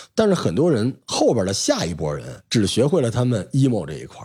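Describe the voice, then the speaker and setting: A man's dark, mellow voice with vocal fry, very wide pitch swings and a fairly quick pace, on a very clean recording with a silent background. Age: middle-aged. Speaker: podcast host with media background. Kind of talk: casual chat.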